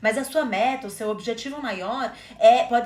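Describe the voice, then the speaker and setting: A woman's high-pitched voice against noticeable background noise. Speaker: podcast co-host. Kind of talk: casual conversational podcast chat.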